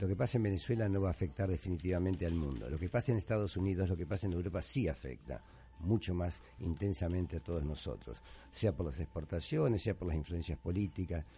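Talking at a very fast pace, a man with a very deep, low pitch and a dark, mellow tone uses lively intonation and vocal fry. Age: 70s. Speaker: radio host and journalist. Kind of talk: radio talk show. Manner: animated.

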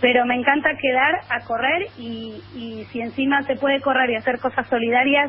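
A woman with a high-pitched voice is heard against noticeable background noise. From Argentina, Junín, Buenos Aires province. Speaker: journalist and running columnist. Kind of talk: radio interview. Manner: animated.

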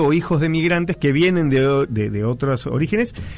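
A man's voice moves up and down in a lively way while music plays underneath. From Argentina, Santa Fe province (Empalme Lobos). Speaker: radio culture columnist. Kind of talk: casual radio chat.

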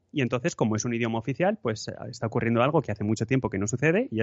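This man has a medium-pitched voice with ordinary pitch variation. He talks at a very fast pace. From Spain, Madrid. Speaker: podcaster. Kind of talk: casual interview chat.

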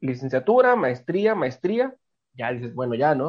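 A man talks at a fairly quick pace. He has an unremarkable speaking voice. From Tijuana, Mexico. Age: 30s. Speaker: communication professor and former folk singer. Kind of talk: casual interview chat.

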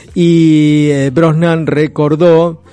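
Noticeable background noise sits under the clip. The man's voice is fairly high in pitch. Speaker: radio host. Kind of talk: casual radio chat with read-out segments.

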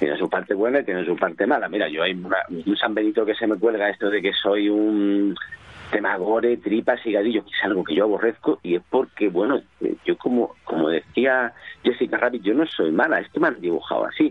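Speech moves at a fairly quick pace against noticeable background noise. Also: man, fairly low pitch for a man, ordinary pitch variation. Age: 40s. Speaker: comic book artist. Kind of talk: interview.

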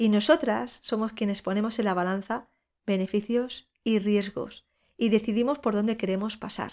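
At a moderate pace and with ordinary pitch variation, an unremarkable speaking voice comes through on a very clean recording with a silent background. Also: woman, fairly high pitch for a woman. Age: 40s. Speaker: podcast host and breast cancer patient. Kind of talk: personal monologue.

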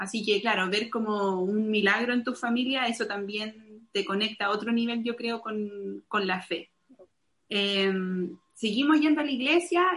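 An unremarkable speaking voice from a woman, fairly high in pitch with ordinary pitch variation, at a fairly slow pace. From Chile. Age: 30s. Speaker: missionary. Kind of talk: testimony.

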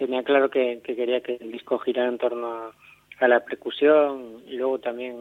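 A man at medium pitch and a fairly slow pace. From Galicia, Spain (Catoira). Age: 30s. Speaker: electronic folk musician. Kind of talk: interview. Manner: halting, many repetitions and fillers.

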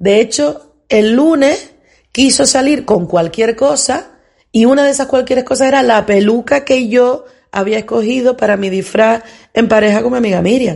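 High-pitched and animated in tone, a woman holds her loudness very even. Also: ordinary pitch variation, moderate pace. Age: 50s. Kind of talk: casual monologue.

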